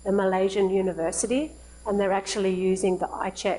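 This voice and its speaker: The woman speaks in an Australian accent at a moderate pace. Her medium-pitched voice has a dark, mellow tone. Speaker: charity founder and president. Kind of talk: lecture. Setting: live-streamed academic meeting. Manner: conversational with fillers.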